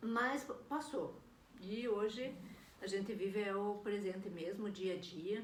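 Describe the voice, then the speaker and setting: Amid noticeable background noise and audible room echo, a woman talks at a fairly slow pace with long, frequent pauses, medium pitch and ordinary pitch variation. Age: 60s. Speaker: vlogger. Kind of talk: personal video diary. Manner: casual, hesitant with fillers.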